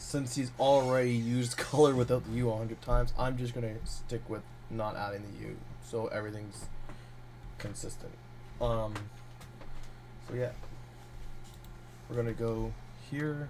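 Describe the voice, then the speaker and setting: Speaking at a moderate pace with long, frequent pauses, a man at medium pitch keeps a monotone, flat intonation amid audible room echo. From Canada. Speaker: game developer streamer. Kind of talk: live-streamed coding tutorial. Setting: live stream. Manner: casual, hesitant with fillers.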